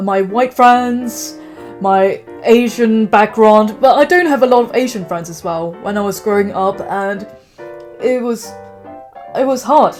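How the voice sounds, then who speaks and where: With music in the background, a woman with a British accent talks at a fairly slow pace and a fairly high pitch, using lively intonation, big swings in loudness, and long, frequent pauses. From England. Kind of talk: casual talk to camera.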